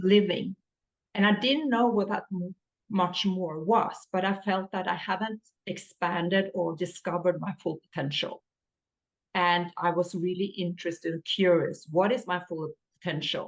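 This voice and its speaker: Here a woman speaks with a Norwegian accent at a medium pitch. Her pace is moderate and her pitch variation ordinary. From Norway. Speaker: business coach. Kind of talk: podcast interview.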